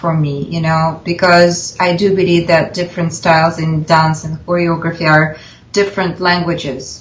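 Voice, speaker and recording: A woman with a Russian accent speaks in a fairly low pitch, with audible room echo and noticeable background noise. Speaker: film director and actress. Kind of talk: interview. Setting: video call.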